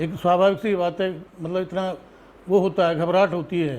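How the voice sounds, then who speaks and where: This man speaks with a high pitch. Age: 60s. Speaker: landowner complaining about land grab. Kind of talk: interview testimony.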